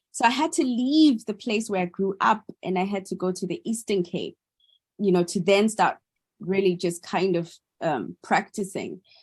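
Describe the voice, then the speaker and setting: At a moderate pace, a woman with a medium pitch and a somewhat breathy voice speaks with lively intonation over a quiet background. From South Africa, industrial town south of Johannesburg. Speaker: artist. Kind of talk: panel conversation. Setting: video call. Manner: halting, many fillers and repeats.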